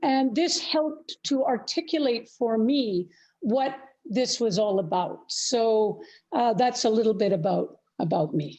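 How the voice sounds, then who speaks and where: Against a quiet background, a woman with a Canadian accent speaks in a high, dark, mellow voice, her pitch swinging very widely while her loudness stays very even. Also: fairly slow pace. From Canada. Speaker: peace activist. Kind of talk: interview.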